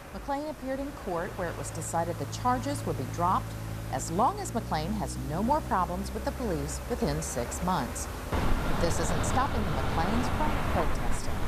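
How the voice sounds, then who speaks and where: A woman speaks at a moderate pace while noticeable background noise carries on behind her. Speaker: TV news reporter. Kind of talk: formal TV newsreading, polished broadcast delivery. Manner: formal, steady, even-paced.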